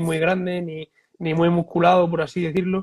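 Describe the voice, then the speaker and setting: A man talks with a high pitch. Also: dry, close sound with no echo. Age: 20s. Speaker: physiotherapist. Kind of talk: interview. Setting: Instagram live stream.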